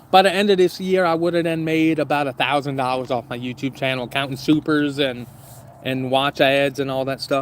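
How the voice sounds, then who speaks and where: This man speaks fairly quickly with a fairly high voice. The rise and fall of his pitch is ordinary. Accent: Southern US. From US South, southern Louisiana. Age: 30s. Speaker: YouTuber, camping channel host. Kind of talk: casual livestream chat. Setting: outdoors, backyard by fire pit.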